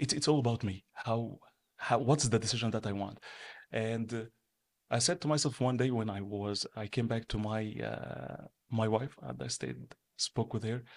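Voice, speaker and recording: A man with an Arabic accent speaks at a medium pitch, pausing long and often, in a very clean, dry, close recording with a silent background and no echo. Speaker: entrepreneur and business manager. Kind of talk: interview.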